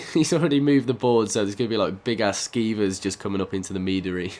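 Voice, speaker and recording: A man talks very fast at a medium pitch, and his pitch variation is ordinary. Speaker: gaming YouTuber. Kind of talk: casual let's play commentary.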